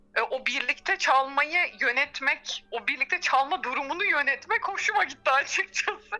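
A raised, projected voice with a bright, sharp tone and lively intonation. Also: woman. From Turkey, Izmir. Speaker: orchestral violist. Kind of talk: interview.

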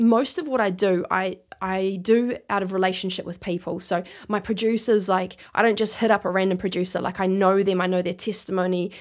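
A woman with a New Zealand accent talks at medium pitch with fairly even intonation on a very clean recording with a silent background. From New Zealand, Christchurch. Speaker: rap and spoken word artist. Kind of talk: interview.

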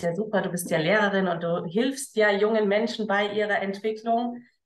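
The delivery comes at a moderate pace with fairly even intonation. Room echo is audible throughout. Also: woman. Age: 30s. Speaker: entrepreneur, former teacher. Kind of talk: casual interview.

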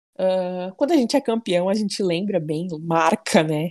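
Here is a normal speaking voice at a fairly slow pace. The recording is very clean, with a silent background. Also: woman. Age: 20s. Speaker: football fan club president. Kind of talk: casual chat.

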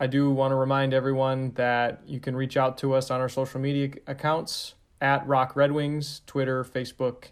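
A man talks in a medium pitch. His intonation is flat and monotone. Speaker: team communications director, podcast host. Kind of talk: podcast intro and outro.

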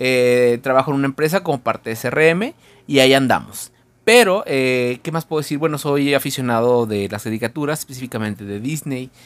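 Speaking at a fairly quick pace, a man uses an animated tone, a medium pitch and ordinary pitch variation. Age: 20s. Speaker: podcast co-host. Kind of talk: casual chat.

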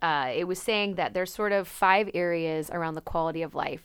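A woman with an American accent, medium pitch and ordinary pitch variation, a normal speaking voice. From Napa, California. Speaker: podcast co-host. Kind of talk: casual chat.

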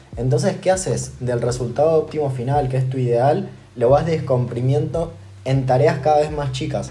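Noticeable background noise and audible room echo surround this man's voice. He talks at a moderate pace with medium pitch and ordinary pitch variation. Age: 20s. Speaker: podcast co-host, personal development. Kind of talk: casual chat.

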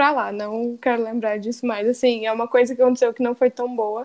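In a very clean recording with a silent background, a woman speaks in a high pitch with monotone, flat intonation. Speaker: film enthusiast guest. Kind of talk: casual chat.

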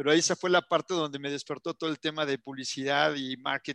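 Here a man talks at a fairly quick pace in a fairly high, bright, sharp voice with ordinary pitch variation. The sound is dry and close, with no echo. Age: 40s. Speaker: marketing agency CEO and entrepreneur. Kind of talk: interview.

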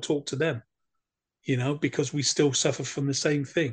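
A man with an English accent speaks in a somewhat breathy voice. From England. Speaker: war veteran. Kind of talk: interview.

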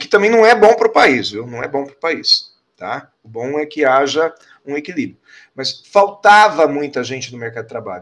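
A normal speaking voice, a man's fairly high pitch, lively intonation at a moderate pace. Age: 50s. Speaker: corporate speaker and businessman. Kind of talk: interview.

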